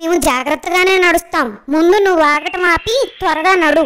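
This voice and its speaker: A cartoonish character voice speaks at extremely high pitch and a moderate pace. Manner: reasoned, calm.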